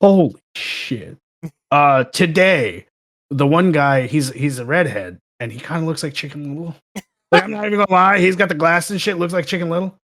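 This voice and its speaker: Animated and lively in intonation, a man with a fairly high pitch speaks at a fairly quick pace with big swings in loudness. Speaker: submariner, guest on podcast. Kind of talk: casual chat.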